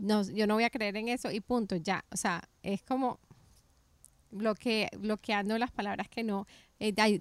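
At a moderate pace, a woman with an unremarkable speaking voice talks at a medium pitch with fairly even intonation, in a very clean, dry, close recording with no echo and a silent background. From Colombia. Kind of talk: faith interview chat.

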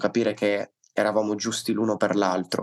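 Moderate pace from a man with a fairly low pitch and monotone, flat intonation. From Liguria, northern Italy. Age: 20s. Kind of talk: testimony.

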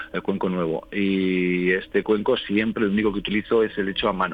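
This man's pitch sits fairly low, and his intonation is monotone and flat. He talks at a moderate pace. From Spain, Aragón (Calatayud). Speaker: singing bowl therapist. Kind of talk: radio interview.

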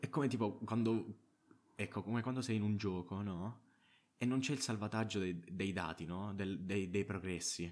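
A man with an unremarkable speaking voice talks at a moderate pace, his fairly low pitch moving with ordinary variation. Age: 20s. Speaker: podcaster. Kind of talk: casual monologue. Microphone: own good microphone.

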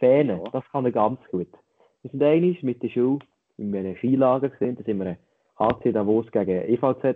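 A man speaks with a Lucerne accent. His pitch varies in an ordinary way. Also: medium pitch for a man, moderate pace. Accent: Lucerne hinterland Swiss German dialect. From Switzerland, Lucerne hinterland. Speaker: podcast co-host. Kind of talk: casual chat.

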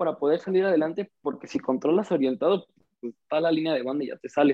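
A man's fairly high-pitched, a normal speaking voice with lively intonation. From Mexico, Ciudad Juárez. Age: young. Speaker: footballer. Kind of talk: casual interview.

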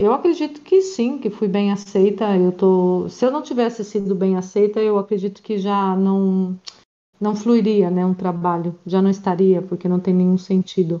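At a fairly slow pace, a woman speaks with a dark, mellow tone, medium pitch and fairly even intonation. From Brazil, Paraná (Maringá). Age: 40s. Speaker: volleyball coach and emotional coach. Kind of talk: casual interview.

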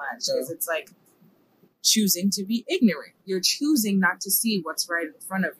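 A somewhat breathy woman's voice with an American accent and big shifts in loudness. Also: medium pitch for a woman, lively intonation, moderate pace. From New York (Bronx). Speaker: church youth leader and poet. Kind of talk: casual interview.

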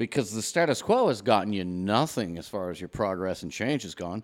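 On a very clean recording with a silent background, a man talks in an unremarkable speaking voice. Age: 40s. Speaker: podcast co-host. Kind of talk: casual chat.

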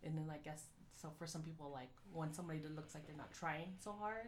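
Audible room echo surrounds a woman with a very deep, low pitch speaking at a moderate pace. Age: 30s. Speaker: podcast co-host. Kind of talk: casual chat.

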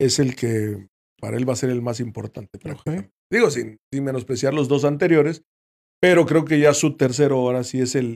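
A man speaks at a medium pitch with ordinary pitch variation, a normal speaking voice. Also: moderate pace. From Mexico, Veracruz. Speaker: retired footballer. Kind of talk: casual chat.

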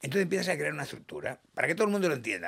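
Animated in tone, a man talks in a high-pitched voice with lively intonation. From Catalonia, Badalona. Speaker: business founder and CEO. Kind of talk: interview.

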